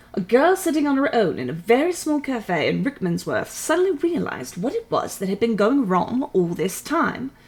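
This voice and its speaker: The speech moves at a moderate pace with hardly any pauses and very wide pitch swings. Background noise is noticeable. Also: woman, high pitch for a woman. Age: 30s. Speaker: streamer reading books aloud. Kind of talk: reading aloud. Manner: put-on British accent for the reading.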